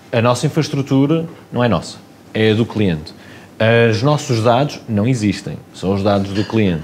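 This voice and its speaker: With light background noise behind him, a man speaks at a fairly slow pace using lively intonation. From Porto, Portugal. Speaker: company co-founder guest. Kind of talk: casual interview chat. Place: studio. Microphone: lapel.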